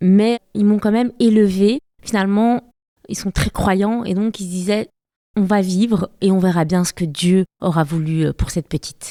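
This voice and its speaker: Speaking fairly slowly, a woman has a medium pitch and a dark, mellow tone. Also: ordinary pitch variation. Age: 30s. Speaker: photographer and patient association founder. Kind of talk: interview testimony.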